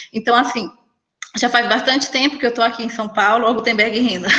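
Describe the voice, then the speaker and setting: A woman with a Cearense accent talks at a fairly quick pace and a fairly high pitch. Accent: Cearense accent, still noticeable. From Ceará, Brazil (Tianguá). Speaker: entrepreneur, image consultant. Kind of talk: casual panel talk. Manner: energetic.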